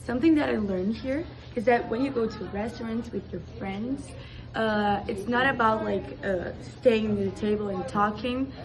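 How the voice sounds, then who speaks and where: A woman with a Portuguese accent speaks at a moderate pace and a fairly high pitch, with ordinary pitch variation. Audible room echo and noticeable background noise surround her. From Brazil. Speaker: exchange student. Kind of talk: casual interview.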